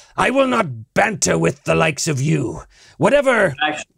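A man does a put-on character voice, high-pitched for a man, at a moderate pace. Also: very even loudness. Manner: angry, shouting, contemptuous; malicious, mocking.

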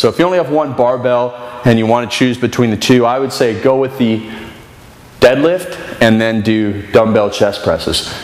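Words arrive at a fairly slow pace, and audible room echo follows them. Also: man. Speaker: fitness trainer. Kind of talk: tutorial. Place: gym. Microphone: camera far.

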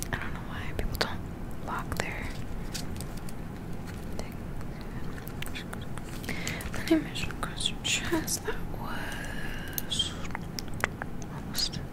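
Over loud background noise, a soft-spoken woman talks at a very slow pace with long, frequent pauses. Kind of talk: soft-spoken ASMR role-play. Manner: soft-spoken, hushed close-mic voice. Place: home room. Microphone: studio mic.

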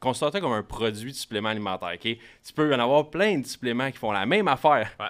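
A man talks at a fairly quick pace with ordinary pitch variation over a quiet background. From Quebec. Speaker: marketing expert for coaches. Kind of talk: casual chat. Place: studio. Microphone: studio mic.

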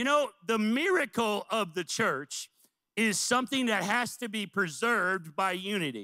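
A man with an American accent speaks in a raised, projected voice at a high pitch, his tone bright, sharp and animated. His intonation is lively, his pace moderate and the background quiet. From US Midwest, central Illinois. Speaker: missions pastor. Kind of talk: sermon. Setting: church. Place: church. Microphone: handheld.

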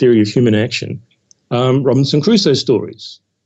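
Speaking at a fairly quick pace, a man with an Australian accent has a medium-pitched voice. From Australia, Sydney suburbs. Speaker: historian. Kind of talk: interview. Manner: hesitant, many fillers.

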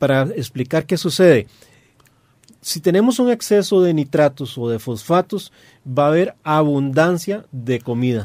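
A man speaks with a fairly high pitch and lively intonation. The background is quiet. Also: fairly slow pace. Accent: Costa Rican. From Costa Rica. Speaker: aquarium hobbyist co-host. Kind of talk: radio talk show discussion. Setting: radio studio. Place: studio. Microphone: studio mic.

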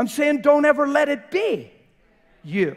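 A man talks with an extremely high pitch and lively intonation. His tone is animated. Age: 50s. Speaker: preacher. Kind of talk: sermon. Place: church.

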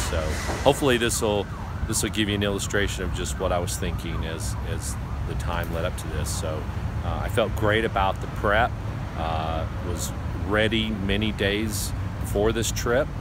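A man talks at a moderate pace with long, frequent pauses, in a dry sound with no echo against loud background noise. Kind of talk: casual vlog chat. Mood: reflective, thoughtful. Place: street. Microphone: phone near.

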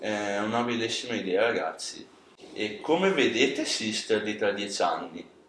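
Against light background noise and audible room echo, a man talks at a moderate pace. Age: 20s. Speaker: interviewer. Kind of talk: interview. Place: studio. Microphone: camera far.

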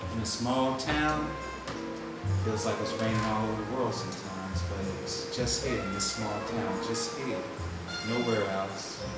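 A man at a fairly slow pace, with audible room echo and loud music in the background. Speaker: nonprofit co-founder. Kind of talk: improvised spoken-word poetry. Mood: reflective, gently smiling. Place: office. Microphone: camera far.

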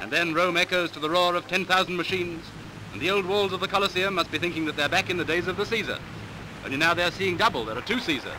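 A man talks at a very fast pace with a high pitch and ordinary pitch variation. Noticeable background noise can be heard. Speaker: newsreel narrator. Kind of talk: newsreel narration. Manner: wry, commentary-style.

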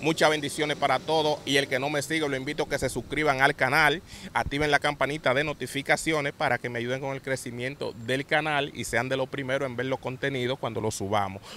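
A man with a Dominican accent speaks at a fairly quick pace with hardly any pauses, in a fairly high pitch and a bright, sharp tone with fairly even intonation, in a dry sound with no echo and light background noise. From Dominican Republic. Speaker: channel host interviewer. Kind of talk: interview questions and channel intro. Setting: outdoors, near a bridge. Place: open country. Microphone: handheld.

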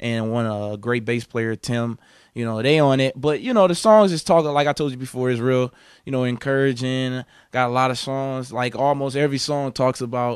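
The man talks at a fairly quick pace over a quiet background, and the sound is dry with no echo. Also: ordinary pitch variation. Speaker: interviewee. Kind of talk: interview answer. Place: home room. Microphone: handheld.

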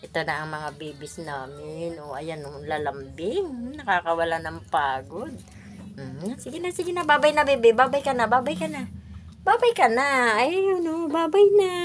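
A woman speaks at a moderate pace in a fairly high pitch, with very wide pitch swings and big swings in loudness. Noticeable background noise is present. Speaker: vlogger. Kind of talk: talking to her pet dogs. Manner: affectionate baby talk.

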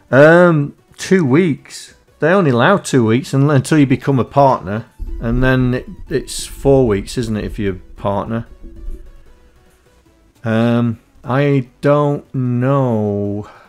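Faint music plays behind a man who speaks very slowly. He leaves long, frequent pauses and uses ordinary pitch variation. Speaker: coding streamer. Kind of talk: casual livestream chat. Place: home room.

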